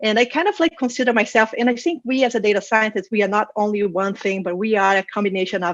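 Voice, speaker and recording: A woman with a Brazilian Portuguese accent speaks at a fairly high pitch with ordinary pitch variation over a quiet background. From Brazil, Rio de Janeiro. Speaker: data science manager and conference speaker. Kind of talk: conference talk. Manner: hesitant with fillers and repetitions.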